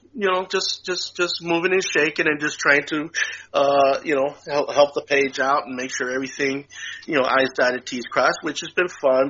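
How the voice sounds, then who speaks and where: Noticeable background noise accompanies a man who talks at a moderate pace with ordinary pitch variation. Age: 60s. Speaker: podcast co-host. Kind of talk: casual chat. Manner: halting, many fillers and repeats.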